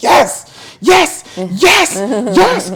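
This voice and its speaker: A fairly high-pitched, put-on character voice jumps through very wide pitch swings. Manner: emphatic, affirming.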